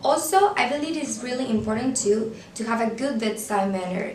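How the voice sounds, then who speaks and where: A woman with a Venezuelan accent speaks at a moderate pace with a fairly high pitch. Noticeable background noise and audible room echo come through. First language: Spanish. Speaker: student portraying future pediatric surgeon. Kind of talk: scripted video monologue.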